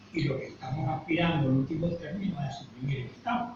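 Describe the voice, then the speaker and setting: A man at a fairly high pitch with lively intonation and a moderate pace, amid noticeable background noise and audible room echo. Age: 80s+. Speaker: student and political activist. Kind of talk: discussion in a study group.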